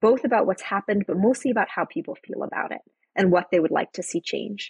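Somewhat breathy, a woman with an American accent speaks with ordinary pitch variation in a dry, close sound with no echo. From Costa Rica (Monteverde), US-born. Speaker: nonprofit CEO. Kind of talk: interview conversation.

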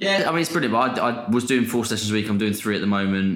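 A man with a southern English accent speaks at a fairly low pitch, with audible room echo. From Portsmouth, England. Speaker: content creator and personal trainer. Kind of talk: casual chat.

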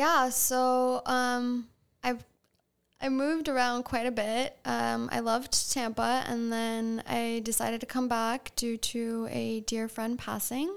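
A woman speaks in a fairly high pitch at a very slow pace. Her intonation stays fairly even. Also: very clean recording, silent background. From Long Island, New York (East Hampton area). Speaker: health coach and vintage shop owner. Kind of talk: casual chat.

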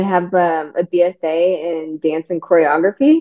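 An unremarkable speaking voice, a woman with an American accent, fairly low in pitch and fairly slow in pace. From Texas. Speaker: actress and dancer. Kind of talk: interview.

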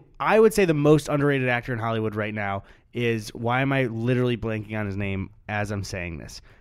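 A man's normal speaking voice at medium pitch, with ordinary pitch variation and a moderate pace, in a very clean recording over a silent background. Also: big swings in loudness. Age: 20s. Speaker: YouTuber and podcast co-host. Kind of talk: casual chat. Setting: studio with microphones and headphones.

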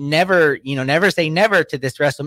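The recording is dry and close with no echo, carrying a man's fairly high, bright, sharp voice with ordinary pitch variation. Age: 30s. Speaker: wrestling podcast co-host. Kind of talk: casual chat.

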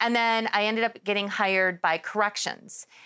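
With an American accent, a woman speaks at a moderate pace and a medium pitch with fairly even intonation. The recording is very clean, with a silent background. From Milwaukee, Wisconsin, US Midwest. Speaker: former police officer turned TV producer and host. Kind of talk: interview. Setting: TV studio set.

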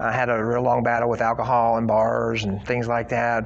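A man with an American accent speaks at a medium pitch. Noticeable background noise and audible room echo are present. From southwest Missouri (Joplin area). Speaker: addiction recovery advocate and author. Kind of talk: testimony.

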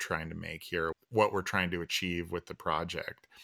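This man has a very deep, low pitch and an American accent. His tone is bright and sharp. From Northern California. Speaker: film director. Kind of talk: interview monologue.

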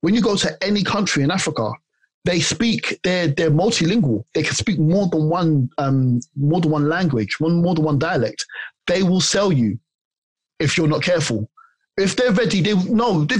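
A man with a London accent speaks at a high pitch and a moderate pace, with lively intonation. His loudness stays very even, and the sound is dry and close with no echo. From South London, Ghanaian family. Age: 40s. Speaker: personal trainer. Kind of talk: interview.

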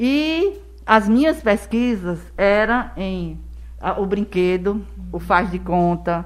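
A woman talks at a very slow pace, her loudness swinging widely. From Brazil, Rio Grande do Norte and Paraíba (Northeast). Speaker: educator and school founder. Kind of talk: casual interview.

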